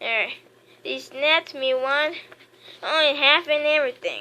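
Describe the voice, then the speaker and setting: A woman performs in a put-on character voice. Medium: read story. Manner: gruff, folksy.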